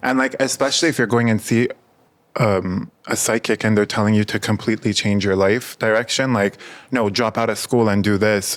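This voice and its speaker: A man speaks in a plain, everyday voice, fairly low in pitch. His pace is fairly quick and his loudness very even. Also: fairly even intonation. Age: 20s. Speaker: podcast host. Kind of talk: casual chat.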